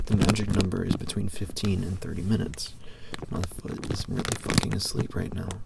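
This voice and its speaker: Noticeable background noise surrounds a man whose very deep, low voice runs monotone and flat at a fairly quick pace. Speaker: ASMR creator. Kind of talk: reading aloud from a book, with casual asides. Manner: unscripted, stumbling, jokey.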